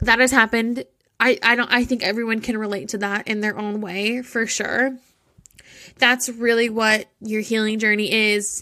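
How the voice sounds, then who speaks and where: With a bright, sharp tone and fairly high pitch, a woman speaks in a monotone, flat way at a moderate pace. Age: 20s. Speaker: solo podcast host. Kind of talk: casual monologue.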